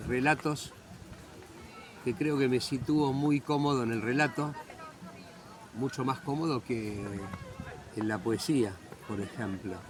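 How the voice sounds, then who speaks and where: Noticeable background noise sits under speech at a very slow pace, with long, frequent pauses and ordinary pitch variation. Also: man. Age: 60s. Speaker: writer. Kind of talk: interview.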